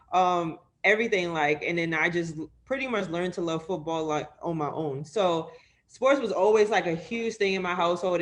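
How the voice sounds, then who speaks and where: This is a normal speaking voice with an American accent. Pitch variation is ordinary. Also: woman. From New York City (Harlem). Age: 20s. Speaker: sports media editor. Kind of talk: interview.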